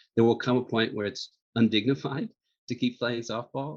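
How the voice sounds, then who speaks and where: This is an ordinary speaking voice. The pace is fairly quick. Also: man. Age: 60s. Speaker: magazine editor-in-chief. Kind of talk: interview.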